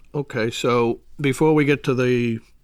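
The speaker has an American accent and talks at a fairly slow pace. The recording is very clean, with a silent background. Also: man. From Boston area, Massachusetts. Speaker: retired FBI undercover agent. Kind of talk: interview storytelling.

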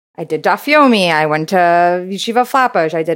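On a very clean recording with a silent background, a woman with an American accent uses a normal speaking voice, a fairly low pitch and a moderate pace. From Brooklyn, New York. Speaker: business developer. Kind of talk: casual interview.

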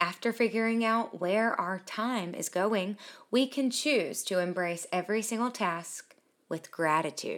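A woman speaks in an unremarkable speaking voice at a fairly slow pace and fairly high pitch with ordinary pitch variation. The recording is very clean, with a silent background. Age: 20s. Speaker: podcast host. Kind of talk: inspirational monologue.

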